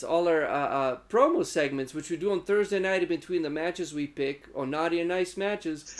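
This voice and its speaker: A man with a non-native accent. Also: very clean recording, silent background. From former Yugoslavia. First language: not English. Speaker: wrestling podcast host. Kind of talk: casual chat. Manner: animated.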